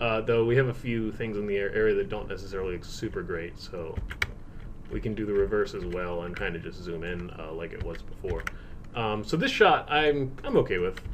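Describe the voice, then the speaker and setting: Against noticeable background noise, a man with a fairly low voice talks at a fairly quick pace. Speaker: animator. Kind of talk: screen-recorded software tutorial. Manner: rambling, hesitant.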